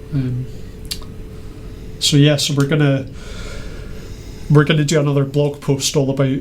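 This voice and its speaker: Amid noticeable background noise and audible room echo, a man with a fairly high pitch speaks in a flat monotone at a moderate pace, leaving long, frequent pauses. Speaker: maker presenting weather-data project. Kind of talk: casual show-and-tell chat. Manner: halting, many fillers.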